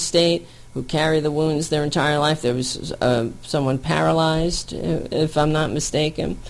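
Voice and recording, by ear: The voice carries vocal fry and moves at a fairly slow pace.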